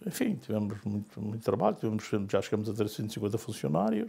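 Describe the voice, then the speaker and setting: This man has a medium-pitched voice. His tone is dark and mellow. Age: old. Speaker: business owner. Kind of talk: interview testimony. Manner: halting, repetitive.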